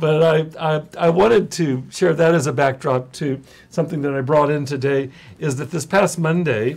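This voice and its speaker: The voice moves at a moderate pace with ordinary pitch variation. It has a somewhat breathy quality. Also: man, fairly high pitch for a man. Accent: American. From US West Coast (central California). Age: 60s. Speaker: addiction specialist, live show host. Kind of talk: live webcast talk. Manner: hesitant, many fillers.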